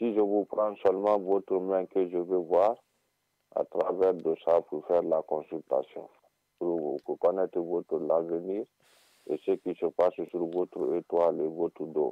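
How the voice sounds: In a dry, close sound with no echo, a man speaks fairly slowly at a low pitch with little pitch movement.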